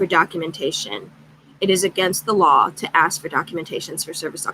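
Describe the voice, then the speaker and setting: This is a woman speaking. Her pace is moderate. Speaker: craft channel vlogger. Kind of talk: casual chat. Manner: loud; animated.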